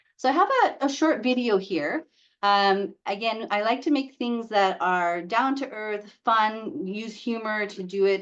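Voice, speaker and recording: Barely pausing, a woman speaks at a fairly high pitch with ordinary pitch variation. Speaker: hospital educator presenting to nurses. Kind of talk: webinar presentation. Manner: fast.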